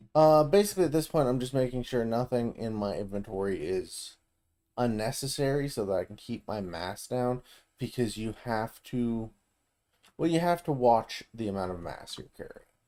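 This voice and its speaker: With an American accent, a man of medium pitch speaks at a moderate pace in a dark, mellow tone, with lively intonation and big swings in loudness. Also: very clean recording, silent background. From US South. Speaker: video game streamer. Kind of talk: gameplay commentary. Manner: casual, conversational.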